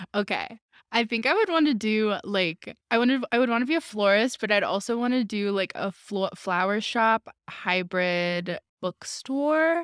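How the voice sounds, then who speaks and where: Over a silent background in a very clean recording, a woman uses a normal speaking voice with fairly high pitch, lively intonation and a moderate pace. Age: 20s. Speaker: podcast co-host. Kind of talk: casual chat.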